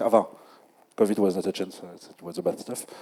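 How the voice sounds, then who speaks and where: A man speaks with a French accent in a dark, mellow tone. The sound is dry and close, with no echo. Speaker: community organizer. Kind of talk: panel discussion. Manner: halting.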